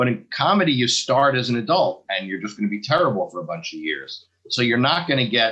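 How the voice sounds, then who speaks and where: Speaking at a fairly quick pace with an American accent, a man with a bright, sharp tone and vocal fry swings his medium pitch very widely. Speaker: stand-up comedian. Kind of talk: casual chat.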